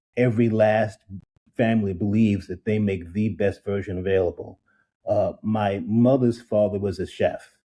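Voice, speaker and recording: A man talks with an American accent at a fairly low pitch. His tone is dark and mellow, his intonation fairly even. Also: moderate pace. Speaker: drinks entrepreneur. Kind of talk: interview.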